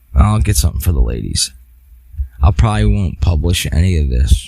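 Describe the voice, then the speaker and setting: At a moderate pace, a man speaks with noticeable background noise behind him. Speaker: podcast host. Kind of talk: solo podcast monologue. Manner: halting.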